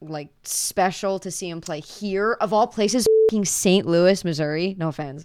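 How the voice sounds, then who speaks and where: This is a woman with an American accent and an unremarkable speaking voice, pitched in the medium range with ordinary pitch variation. The recording is very clean, with a silent background. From Pennsylvania. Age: 20s. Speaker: guest, coworker and friend. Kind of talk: casual chat.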